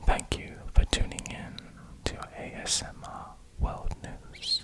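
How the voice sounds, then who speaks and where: Noticeable noise fills the background. Over it, a man whispers. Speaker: ASMR news host. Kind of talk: ASMR educational narration. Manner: whispered, soft-spoken.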